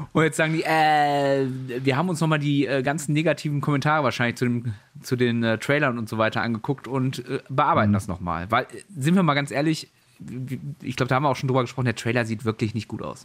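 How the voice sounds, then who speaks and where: Talking at a very fast pace, a man keeps a medium pitch and ordinary pitch variation. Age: 30s. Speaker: gaming news podcast host. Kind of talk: casual chat. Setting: home office, remote call.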